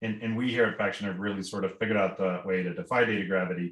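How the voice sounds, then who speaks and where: A man talks at a very fast pace in a fairly low pitch. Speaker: company founder and executive chairman. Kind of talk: interview. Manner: animated.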